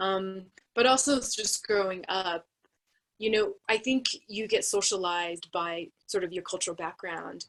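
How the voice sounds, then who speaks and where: Speaking slowly-ish with an American accent, a woman has medium pitch and ordinary pitch variation. Hers is an unremarkable speaking voice. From United States. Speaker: anthropologist, university researcher. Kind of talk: panel discussion.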